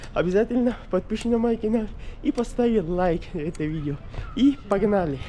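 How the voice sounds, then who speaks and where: A man speaks in a high voice with very wide pitch swings over noticeable background noise. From Pakistan. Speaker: travel vlogger. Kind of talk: travel vlog. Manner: halting, non-native phrasing.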